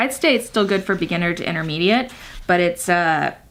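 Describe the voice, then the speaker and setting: A woman with a fairly low pitch talks while noticeable background noise fills the recording. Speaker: parenting vlogger. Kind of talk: casual vlog talk. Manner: fast.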